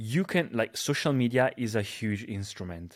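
With an Italian accent, the speaker keeps a moderate pace on a very clean recording with a silent background. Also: man. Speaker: social media influencer. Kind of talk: casual chat.

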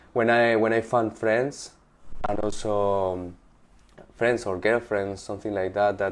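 A man with a Spanish accent talks at a fairly slow pace in a fairly low pitch, his intonation flat and monotone. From Spain, Valencia. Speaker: artist. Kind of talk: interview. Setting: in the guest's apartment. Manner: halting.

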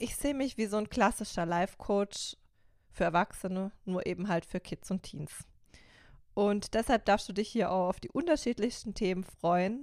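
A woman speaks at a moderate pace and medium pitch with ordinary pitch variation, in a dry, close sound with no echo on a very clean recording with a silent background. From Baden, Karlsruhe. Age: 30s. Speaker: youth life coach, podcast host. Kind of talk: solo podcast introduction.

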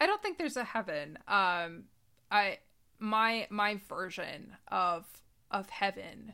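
Bright and sharp in tone, a woman talks at a very slow pace on a very clean recording with a silent background. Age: 30s. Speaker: forager and interdisciplinary artist. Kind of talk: casual interview.

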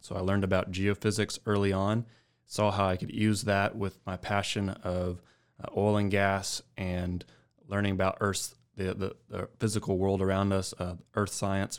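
With a Texan accent, a man talks at a moderate pace in a fairly low pitch and a monotone, flat intonation, captured on a very clean recording against a silent background. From West Texas, San Angelo. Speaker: geophysicist. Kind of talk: casual interview. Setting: studio.

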